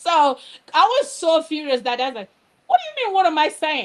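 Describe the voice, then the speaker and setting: A woman with a Nigerian accent and very wide pitch swings. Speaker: educator and candle business owner. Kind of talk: live show interview. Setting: live online show.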